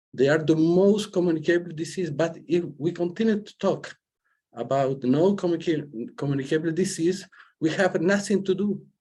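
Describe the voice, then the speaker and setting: A man speaks at a moderate pace with a non-native accent, his pitch high and its variation ordinary. The tone is dark and mellow. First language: Spanish. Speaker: senator. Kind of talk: panel remarks. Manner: halting.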